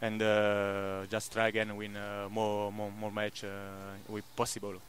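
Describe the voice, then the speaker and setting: With an Italian accent, a man talks at a fairly slow pace. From Italy. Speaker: footballer. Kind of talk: post-match interview. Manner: halting.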